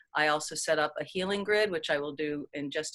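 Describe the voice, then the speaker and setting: This woman's voice is very deep and low, with ordinary pitch variation. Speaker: energy healer leading a group session. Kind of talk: live group healing session talk. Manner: fast; casual, many fillers.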